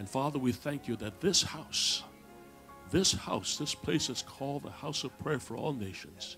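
A man speaks with ordinary pitch variation while faint music plays in the background. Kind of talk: public prayer. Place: church.

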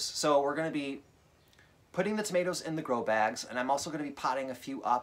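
Ordinary pitch variation from a man, with light background noise. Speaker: home gardener vlogger. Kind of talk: casual vlog chat. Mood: chatty, good-humoured. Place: home room. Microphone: phone near.

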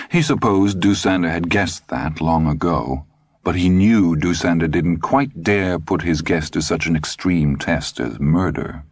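Using vocal fry, a man with a very deep, low voice speaks at a moderate pace with ordinary pitch variation. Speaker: audiobook narrator. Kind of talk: literary audiobook reading of a thriller, third-person narration with character voices. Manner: expressive, with distinct voices for each character.

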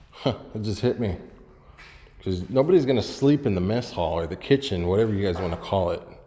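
Pitch swinging very widely, a man talks at a fairly quick pace. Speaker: urban explorer vlogger. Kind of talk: casual vlog chat. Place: empty room. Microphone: phone near.

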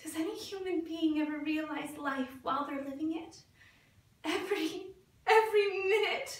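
A woman with an extremely high pitch speaks at a moderate pace with ordinary pitch variation, and the room echo is audible. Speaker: actor at an audition. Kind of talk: dramatic theatre monologue. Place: studio. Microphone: camera far.

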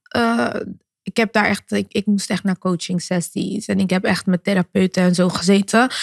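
Recorded dry with no echo against a quiet background, a woman speaks at a moderate pace with fairly even intonation and very even loudness. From Netherlands, Rotterdam; Netherlands. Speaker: singer and influencer; podcast guest. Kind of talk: interview. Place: studio. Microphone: studio mic.

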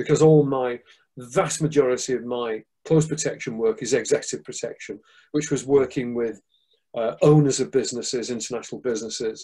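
A man with a Manchester accent, somewhat breathy and dark, mellow in tone, at a fairly quick pace with fairly even intonation over a quiet background. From northern England, Manchester. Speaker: martial arts instructor and security expert; martial arts instructor. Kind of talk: interview. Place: home room. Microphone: video call.

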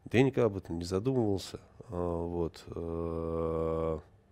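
A man's very deep, low voice with a dark, mellow tone, fairly even intonation and a very slow pace. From Moscow, Russia; Russia. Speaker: TV journalist. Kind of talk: interview. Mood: subdued, mourning. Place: studio. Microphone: lapel.

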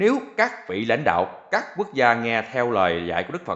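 A man at a very slow pace and a medium pitch. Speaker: reader of listener questions. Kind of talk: reading aloud.

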